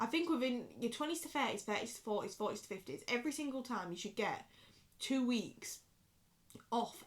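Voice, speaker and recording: Speaking at a fairly quick pace with a Yorkshire accent, a woman uses an animated tone and a fairly high pitch. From Yorkshire, northern England. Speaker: vlogger. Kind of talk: casual chat. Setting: bedroom. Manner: drops words, clipped pronunciation.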